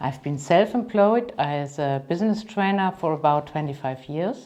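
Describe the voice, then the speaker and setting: A woman speaks fairly slowly in a German accent, her tone dark and mellow. Her pitch swings very widely. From Germany, Cologne. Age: 50s. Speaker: business trainer and coach. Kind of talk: self-presentation.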